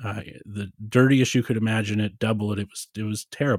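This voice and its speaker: In an American accent, a man talks in an ordinary speaking voice with fairly even intonation and a dry, close sound with no echo. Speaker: philosopher and podcast host. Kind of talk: casual interview conversation.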